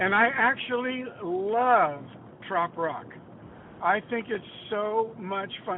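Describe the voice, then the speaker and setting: Long pauses come often in this very slowly paced speech. Background noise is noticeable throughout. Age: 80s+. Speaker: songwriter. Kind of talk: casual interview. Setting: phone call. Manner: animated.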